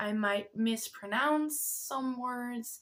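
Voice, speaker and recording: Speaking at a very slow pace, a woman has a fairly high pitch. Her pitch variation is ordinary. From Netherlands. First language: Dutch. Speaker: spiritual content creator and card reader. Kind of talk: casual vlog announcement. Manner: hesitant, stumbling over words.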